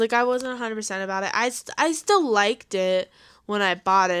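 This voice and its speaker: The speaker has a Coloradan accent and ordinary pitch variation. The recording is very clean, with a silent background. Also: woman. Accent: Coloradan, weak R's. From Colorado. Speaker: podcast co-host. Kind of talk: casual chat.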